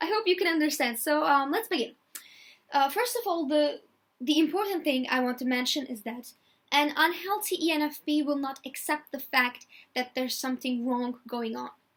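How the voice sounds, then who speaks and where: A woman with a non-native accent speaks at a moderate pace in a high pitch, her intonation lively. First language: not English. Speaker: video blogger. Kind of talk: personality type talk from notes. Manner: halting, many fillers.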